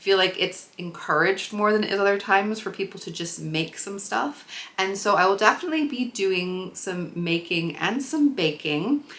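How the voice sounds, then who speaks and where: A woman with an American accent talks at a moderate pace and medium pitch, her intonation lively and her pauses few, over noticeable background noise. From US Midwest, Chicago. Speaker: sewing and craft vlogger. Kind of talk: casual vlog talk to camera.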